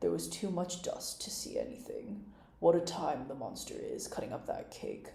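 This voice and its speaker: In a gruff, put-on character voice, the speaker goes at a moderate pace with a slight echo. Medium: read story. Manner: lazy, yawning, gruff.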